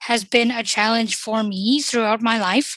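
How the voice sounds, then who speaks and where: A woman with an ordinary speaking voice, fairly high in pitch, at a moderate pace. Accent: Canadian. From Canada. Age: 30s. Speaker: social worker. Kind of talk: panel discussion. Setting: convention panel.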